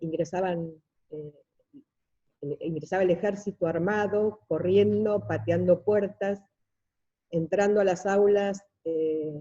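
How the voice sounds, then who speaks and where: This woman has a dark, mellow tone at medium pitch, talking very slowly with fairly even intonation and long, frequent pauses. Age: 60s. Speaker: seminar participant. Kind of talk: testimony.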